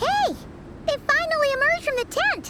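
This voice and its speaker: A squeaky, cartoonish character voice at an extremely high pitch moves along at a moderate pace. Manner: excitable, chatty.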